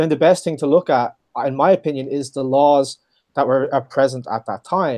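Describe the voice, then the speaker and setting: With an Irish accent, the voice has a dark, mellow tone, captured in a dry, close sound with no echo against a quiet background. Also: man. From Ireland. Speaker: legal history expert, program manager. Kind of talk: interview.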